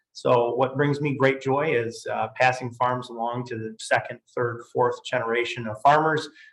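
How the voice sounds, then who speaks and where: A man with an Upper Midwest accent at a moderate pace, his intonation monotone and flat. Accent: Upper Midwest American. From Michigan, Grand Rapids. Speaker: tax and estate lawyer. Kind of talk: webinar presentation. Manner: casual with fillers.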